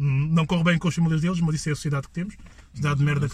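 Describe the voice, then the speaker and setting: A man is speaking. His tone is animated. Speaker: podcast host. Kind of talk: casual chat.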